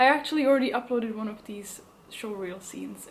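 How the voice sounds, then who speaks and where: Amid noticeable background noise and audible room echo, a woman speaks at a fairly quick pace and fairly high pitch with ordinary pitch variation. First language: not English. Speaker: actor. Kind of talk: casual vlog. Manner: hesitant, many fillers.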